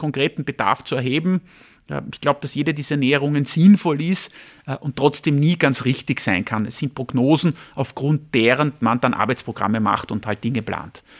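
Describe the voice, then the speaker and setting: Talking at a fairly quick pace, a man with an ordinary speaking voice sits fairly high in pitch and shows ordinary pitch variation, on a very clean recording with a silent background. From Austria, Vienna. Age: 40s. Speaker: labour market agency head. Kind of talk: interview.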